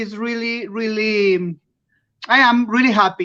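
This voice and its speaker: A woman with a non-native accent speaks in a bright, sharp tone at a fairly high pitch, with fairly even intonation. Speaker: award-winning artist. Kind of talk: live interview. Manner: halting.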